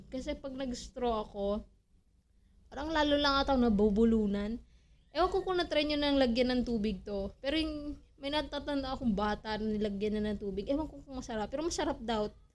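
A woman speaks at a high pitch with lively intonation. Her pace is fairly quick. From Philippines. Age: 20s. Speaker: podcast host. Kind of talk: casual solo chat.

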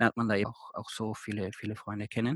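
The sound is dry and close with no echo. It is a man who speaks. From Austria. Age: 20s. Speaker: volunteer returned from abroad. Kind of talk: interview. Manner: halting, many fillers.

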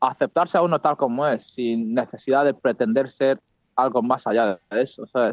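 A man talks at a moderate pace in an unremarkable speaking voice, pitched at a medium level. His loudness stays very even, and his pitch varies in an ordinary way. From Spain (Madrid). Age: 20s. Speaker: psychology student. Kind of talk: casual interview.

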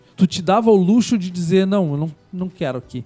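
With a southern Brazilian accent, a man talks at a fairly quick pace and high pitch, his dark, mellow tone carrying lively intonation in a dry, close sound with no echo. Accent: gaúcho Brazilian Portuguese. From southern Brazil, Rio Grande do Sul frontier (Bagé). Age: 50s. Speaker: historian and journalist. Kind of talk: radio interview. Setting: community radio studio.

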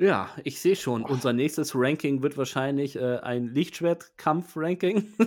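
A man talks at a fairly slow pace with hardly any pauses. His pitch is fairly high, with ordinary variation. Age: 40s. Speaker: podcast host. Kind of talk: casual chat. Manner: halting.

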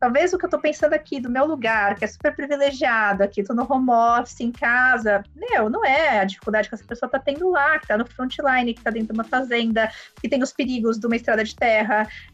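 Talking at a very fast pace, a woman with a high pitch uses ordinary pitch variation. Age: 30s. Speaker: HR executive. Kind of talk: interview. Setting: remote, home office. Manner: halting, many fillers.

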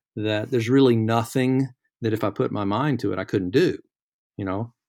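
In a very clean recording with a silent background, a man speaks at a medium pitch and moderate pace, with ordinary pitch variation. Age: 60s. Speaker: lawyer. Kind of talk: casual chat. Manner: halting.

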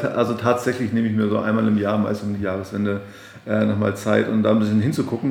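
Over noticeable background noise and audible room echo, a man speaks with a fairly low pitch. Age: 40s. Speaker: pastor and podcast host. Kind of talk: interview. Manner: halting, repeats words.

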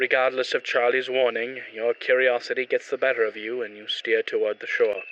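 A natural voice, reading aloud

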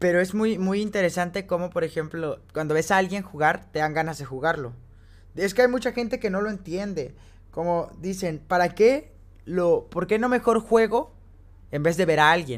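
The speaker is a man with a high pitch. The recording is very clean and the background silent. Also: ordinary pitch variation, moderate pace. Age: 20s. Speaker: podcast co-host and game streamer. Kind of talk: casual chat.

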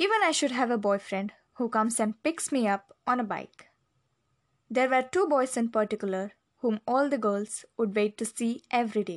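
A woman with an Indian accent speaks at a moderate pace, her pitch fairly high with ordinary variation. The sound is dry and close with no echo, over a quiet background. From India, Delhi. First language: Hindi. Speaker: memoir narrator. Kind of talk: scripted narration.

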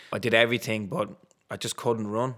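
This man has a Dublin accent, a medium pitch, a bright, sharp tone and a moderate pace. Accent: Dublin Irish. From Ireland, Dublin. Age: 30s. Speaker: retired sprinter and corporate coach. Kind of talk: interview.

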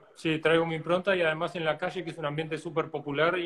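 Using a plain, everyday voice, a man speaks at a fairly high pitch with fairly even intonation. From Uruguay. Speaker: flamenco guitarist. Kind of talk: interview.

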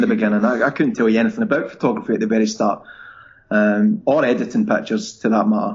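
Speaking at a very fast pace, a man talks in a strong Scottish accent. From Scotland. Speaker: travel blogger. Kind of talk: casual interview chat.

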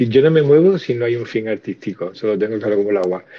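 A man's plain, everyday voice, a plain, everyday voice at medium pitch and a fairly quick pace. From Andalusia (Cádiz). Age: 50s. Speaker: teacher and podcast co-host. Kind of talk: casual chat. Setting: online audio room.

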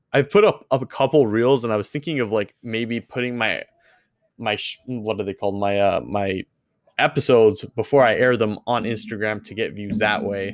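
Over a very clean recording with a silent background, a man talks at a moderate pace and medium pitch in a normal speaking voice. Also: ordinary pitch variation. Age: 20s. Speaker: gaming streamer and podcast host. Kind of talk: solo casual update monologue.

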